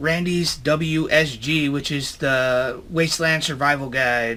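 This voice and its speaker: In a room with audible echo, a man speaks at medium pitch with a bright, sharp tone and fairly even intonation. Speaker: outdoor survival YouTuber. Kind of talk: casual vlog. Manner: hesitant, many fillers.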